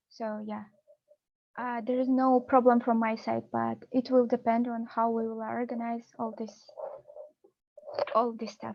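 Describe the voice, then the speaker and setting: A woman with a Kazakh accent speaks at a fairly slow pace in a fairly high pitch, her intonation flat and monotone, her loudness swinging widely, and her long pauses coming often. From Kazakhstan. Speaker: PhD researcher. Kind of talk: webinar Q&A.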